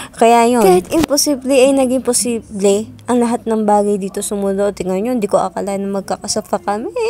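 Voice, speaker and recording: Fairly quick speech from a woman, medium in pitch with ordinary pitch variation, over noticeable background noise. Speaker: vlogger. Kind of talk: casual vlog narration. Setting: at home at night.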